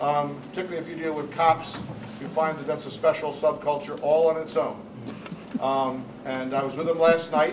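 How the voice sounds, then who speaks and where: A man with a New Jersey accent and a fairly high pitch, fairly even intonation at a moderate pace, big swings in loudness, noticeable background noise and audible room echo. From New Jersey, Newark. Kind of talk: panel talk.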